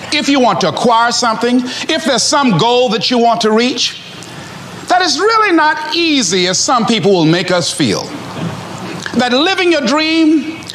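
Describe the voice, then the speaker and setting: A man speaks at an extremely high pitch and a fairly slow pace, his tone energetic and his pitch swinging very widely. His loudness stays very even, with noticeable background noise behind him. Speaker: motivational speaker. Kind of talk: motivational speech to a live audience. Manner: energetic, emphatic, humorous.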